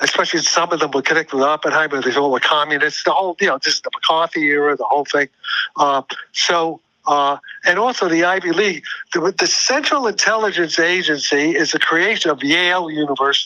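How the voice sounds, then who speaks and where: Speaking at a very fast pace, a man has a fairly high pitch. The sound is dry and close with no echo. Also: ordinary pitch variation. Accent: New York. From US Northeast (New York City, Brooklyn). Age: 80s+. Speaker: physicist. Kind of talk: interview. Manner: halting.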